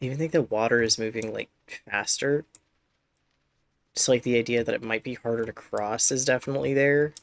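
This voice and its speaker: Soft-spoken delivery at a fairly quick pace, broken by long, frequent pauses. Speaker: video game streamer. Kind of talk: live gameplay commentary. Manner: loud.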